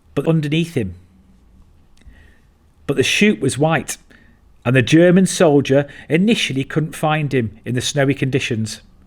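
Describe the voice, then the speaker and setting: Speaking at a moderate pace with long, frequent pauses, a man uses lively intonation at a fairly high pitch. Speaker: military survival instructor. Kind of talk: documentary narration.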